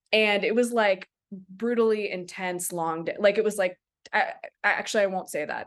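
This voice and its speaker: A woman's ordinary speaking voice with an American accent, medium in pitch, at a moderate pace with ordinary pitch variation, against a quiet background. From Maryland, US (Silver Spring). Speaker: documentary director. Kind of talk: casual interview.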